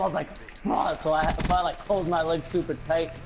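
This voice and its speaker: A high-pitched man at a fairly quick pace, with music in the background. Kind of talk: casual chat. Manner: halting.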